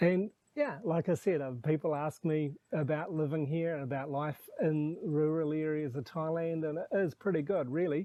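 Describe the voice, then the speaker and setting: This man's voice sits fairly high in pitch, with a dark, mellow tone and fairly even intonation at a moderate pace. The sound is dry and close, with no echo. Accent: New Zealand. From New Zealand. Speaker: expat vlogger and homestay owner. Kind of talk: casual vlog talk to camera. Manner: relaxed.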